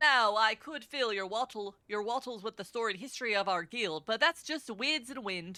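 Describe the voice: What you hear is plain reading aloud from start to finish.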